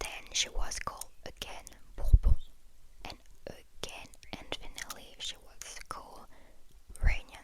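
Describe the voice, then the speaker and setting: A woman whispering at a fairly slow pace, with long, frequent pauses and big swings in loudness. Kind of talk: ASMR soft-spoken travel talk to camera. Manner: soft-spoken.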